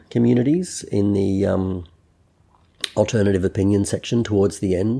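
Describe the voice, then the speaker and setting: His tone is dark and mellow, and his pitch is fairly low. The man keeps his intonation fairly even. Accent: Australian. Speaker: podcast host. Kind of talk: casual chat. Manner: halting, many fillers.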